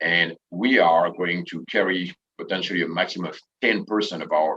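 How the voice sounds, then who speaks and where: With a French accent, a man speaks at a moderate pace in a very deep, low voice that has a bright, sharp tone and ordinary pitch variation. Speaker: tourism association president and hotel manager. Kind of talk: panel discussion.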